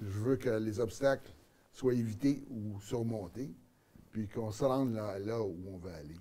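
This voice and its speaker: The voice has a dark, mellow tone, a fairly slow pace, ordinary pitch variation and big swings in loudness. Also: man, fairly low pitch for a man. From Quebec (Montreal), born in Acadian New Brunswick. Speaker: mayor and political candidate. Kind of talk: studio interview. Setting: TV studio. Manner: hesitant, many fillers and repetitions.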